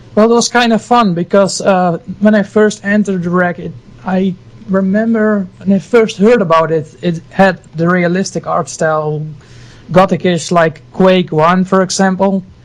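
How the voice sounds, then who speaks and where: Speaking with a Dutch accent, a man uses a high pitch and fairly even intonation at a moderate pace. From Netherlands, Friesland. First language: Dutch or Frisian. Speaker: game artist. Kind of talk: casual interview chat.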